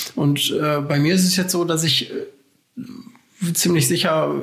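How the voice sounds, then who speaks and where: This man speaks at a high pitch. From Germany, Essen (Ruhr area). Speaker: civil engineer and doctoral researcher. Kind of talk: casual interview.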